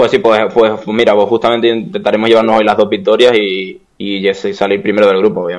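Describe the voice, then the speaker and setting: A man talks at a fairly low pitch and a fairly quick pace. His intonation is monotone and flat. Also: hardly any pauses. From Canary Islands, Spain. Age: 20s. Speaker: esports video game player. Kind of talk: casual interview.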